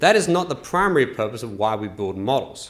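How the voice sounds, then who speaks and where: A man speaks at a fairly quick pace with an Australian accent, his pitch swinging very widely, with audible room echo. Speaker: engineer presenter. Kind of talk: conference presentation.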